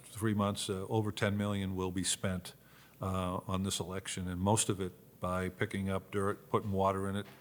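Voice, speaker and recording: This man's voice sits fairly low in pitch and carries a monotone, flat intonation. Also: very clean recording, silent background. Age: 60s. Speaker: retired football player and Senate candidate. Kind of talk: casual interview. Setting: studio-style room in a venue. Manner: halting, frequent repetitions.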